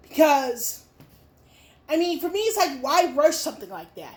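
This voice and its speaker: Speaking at a moderate pace with a slight New Jersey accent, a woman has an extremely high pitch and ordinary pitch variation. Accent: very light New Jersey. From Chicago, Illinois. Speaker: YouTuber. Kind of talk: Q&A vlog. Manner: halting, many fillers.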